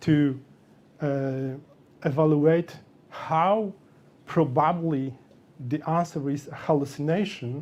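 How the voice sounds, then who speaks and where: The speaker has a non-native accent and a dark, mellow tone. Intonation stays fairly even throughout. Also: man. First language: not English. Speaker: software developer speaker. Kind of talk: meetup tech talk. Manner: halting.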